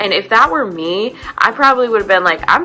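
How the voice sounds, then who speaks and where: Over noticeable background noise, a woman talks fairly quickly in an animated tone, her pitch swinging very widely. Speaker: vlogger. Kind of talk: casual TV recap monologue. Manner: fast.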